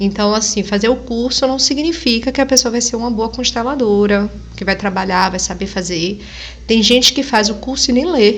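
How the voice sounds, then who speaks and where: Noticeable background noise accompanies a woman speaking in a fairly high pitch. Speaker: family constellation therapist, reaction video host. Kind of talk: reaction video commentary. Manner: slow.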